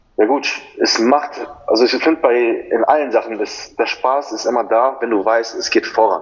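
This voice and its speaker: A man talks at a moderate pace, and noticeable background noise can be heard. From Germany. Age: 20s. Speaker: personal trainer and fitness model. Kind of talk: podcast interview.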